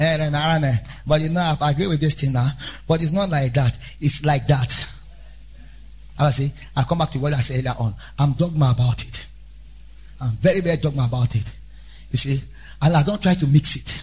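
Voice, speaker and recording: Speaking at a moderate pace, a man sounds animated and somewhat breathy, with long, frequent pauses. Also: fairly high pitch for a man, ordinary pitch variation. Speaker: preacher. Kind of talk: sermon; sermon in full flow, fiery preaching with call-and-response. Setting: church. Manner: animated, emphatic, repeating key phrases; exhorting the congregation directly, urgent.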